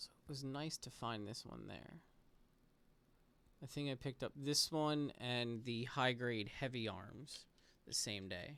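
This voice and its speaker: A soft-spoken man at a medium pitch, fairly slow, with ordinary pitch variation and long, frequent pauses. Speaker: model kit builder / streamer. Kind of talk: casual relaxed commentary while building.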